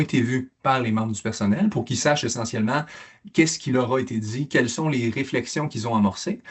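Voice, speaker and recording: Somewhat breathy, the voice moves at a fairly quick pace with ordinary pitch variation. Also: man. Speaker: mental health program presenter. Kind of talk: conference presentation. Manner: fast; halting with repetitions.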